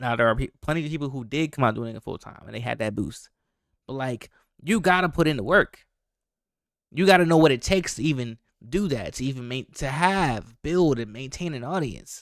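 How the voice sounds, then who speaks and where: An animated, fairly high-pitched man at a fairly quick pace, with lively intonation and big swings in loudness, on a very clean recording with a silent background. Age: 20s. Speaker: reaction video creator. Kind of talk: reaction commentary.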